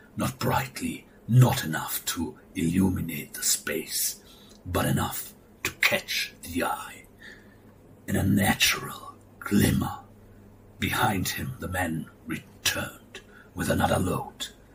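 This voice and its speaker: A man whispers in a put-on character voice at a fairly slow pace, with long, frequent pauses. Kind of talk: horror narration. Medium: read story. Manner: slow, measured, ominous.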